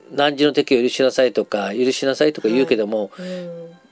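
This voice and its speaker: A man is speaking. Music plays in the background. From Japan, Nagasaki. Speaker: psychologist and counselor. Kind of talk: interview.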